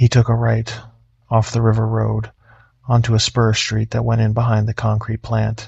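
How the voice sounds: This is a natural reading voice. The words are read aloud.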